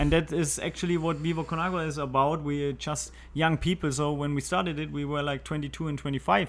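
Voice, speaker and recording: A man with a German accent, very fast, with fairly even intonation and hardly any pauses. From Germany. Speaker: water charity founder. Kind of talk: interview. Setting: studio.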